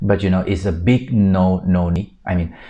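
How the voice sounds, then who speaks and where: A man with a Thai accent speaks at a fairly low pitch. His tone is dark and mellow, and the background is quiet. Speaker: exam prep tutor. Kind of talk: tutorial.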